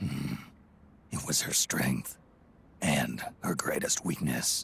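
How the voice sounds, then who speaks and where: In a put-on character voice, a man speaks very slowly with a very deep, low pitch. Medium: video game. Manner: terse, gruff.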